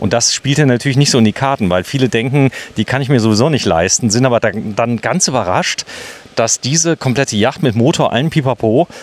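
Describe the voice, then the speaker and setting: Here a man talks at a fairly quick pace with ordinary pitch variation and very even loudness. The sound is dry, with no echo. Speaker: video host touring yachts. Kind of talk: casual walkthrough commentary. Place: waterside.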